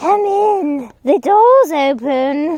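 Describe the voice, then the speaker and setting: A woman's squeaky put-on character voice at an extremely high pitch, with very wide pitch swings. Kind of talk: bedtime story. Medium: read story. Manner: sly, deceptive.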